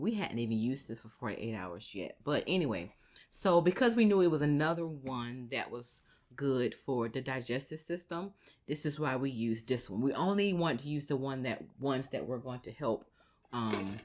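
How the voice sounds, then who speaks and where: In a very clean recording with a silent background, a woman's very deep, low voice carries lively intonation. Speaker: parenting vlogger. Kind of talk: casual chat. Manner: fast.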